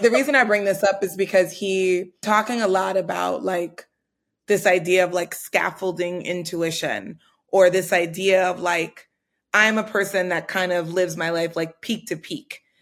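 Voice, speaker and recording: With an ordinary speaking voice, a woman talks at medium pitch and moderate pace on a very clean recording with a silent background. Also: fairly even intonation. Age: 30s. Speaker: podcast host and startup founder. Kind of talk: casual chat.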